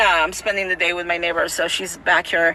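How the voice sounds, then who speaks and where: Her delivery moves fairly quickly, and the speaker is a woman. Behind her, background noise is noticeable. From Mexico City. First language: Spanish. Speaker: political commentator. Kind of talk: casual vlog commentary. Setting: outdoors in Tijuana, neighbor present. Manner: animated, repetitive and emphatic.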